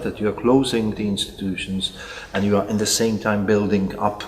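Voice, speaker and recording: There is noticeable background noise. A man talks in a Czech accent. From Czech Republic, Prague. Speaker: psychiatrist. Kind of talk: interview. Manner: halting.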